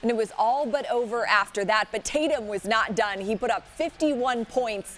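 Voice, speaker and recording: At a moderate pace, a woman talks in a plain, everyday voice, fairly high-pitched, with ordinary pitch variation. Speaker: sports broadcaster. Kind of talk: in-studio sportscast highlights read.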